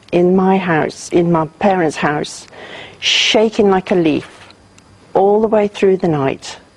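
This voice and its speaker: Very slow speech from a woman with noticeable background noise. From South Wales, later Coventry. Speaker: war survivor. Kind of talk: testimony.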